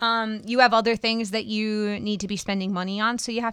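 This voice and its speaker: A woman's bright, sharp, medium-pitched voice on a very clean recording with a silent background. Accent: American. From Wisconsin, US (small town). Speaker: podcast host and skydiver. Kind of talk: casual interview.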